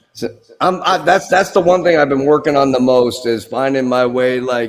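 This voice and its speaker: An unremarkable speaking voice talks at a moderate pace with ordinary pitch variation. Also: man, medium pitch for a man. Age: 30s. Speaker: guitar streamer learning guitar. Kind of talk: casual chat.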